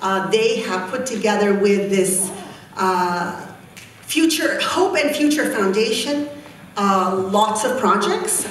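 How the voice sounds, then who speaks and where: Over noticeable background noise and audible room echo, a woman speaks very slowly. Her voice is fairly high, with lively intonation. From Egypt (rural Nile Delta village). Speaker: youth leadership activist. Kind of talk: conference talk. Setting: conference stage with audience.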